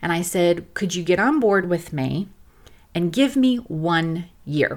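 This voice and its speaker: With an American accent and lively intonation, this unremarkable speaking voice comes through on a very clean recording with a silent background. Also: woman. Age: 50s. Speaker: podcast host and short-term rental owner. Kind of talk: personal monologue podcast.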